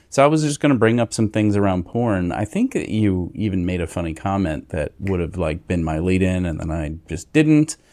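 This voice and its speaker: A man with a very deep, low pitch and a dark, mellow tone speaks with lively intonation at a moderate pace. He hardly pauses, and the background is quiet. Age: 40s. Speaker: podcast co-host. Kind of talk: casual chat. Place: home room. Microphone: studio mic.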